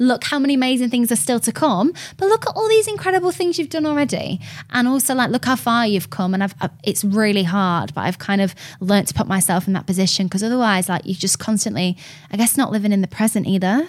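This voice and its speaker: In a Lancashire accent, the speaker talks at a very fast pace with lively intonation, an animated tone and a somewhat breathy voice. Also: woman, fairly high pitch for a woman. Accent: Lancashire northern English. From Lancashire, northern England. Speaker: radio host. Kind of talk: casual chat interview. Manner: chatty, animated, friendly.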